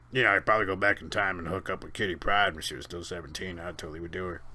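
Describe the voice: Using a put-on character voice, a man talks very fast in a very deep, low register.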